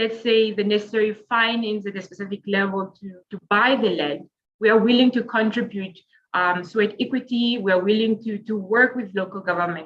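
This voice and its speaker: A woman with an unremarkable speaking voice talks at medium pitch and a fairly quick pace, with ordinary pitch variation and big swings in loudness. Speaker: urban planning academic. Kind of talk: webinar panel talk. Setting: video call.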